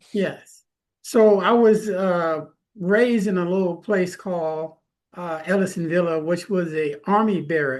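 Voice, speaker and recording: Speaking at a fairly slow pace, a man has a high pitch with ordinary pitch variation. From California, Stockton. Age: 60s. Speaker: author. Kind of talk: interview. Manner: halting.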